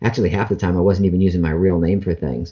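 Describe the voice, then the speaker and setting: This man has a very deep, low voice and a General American accent. His delivery is somewhat breathy, with ordinary pitch variation. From Ohio, US Midwest. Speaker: voice actor and mentalist. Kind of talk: interview.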